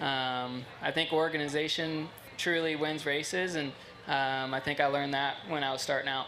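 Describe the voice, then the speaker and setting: Music plays in the background and the room echoes audibly as a man speaks at a moderate pace. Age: 30s. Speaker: sprint car driver. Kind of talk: interview. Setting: stage at race track.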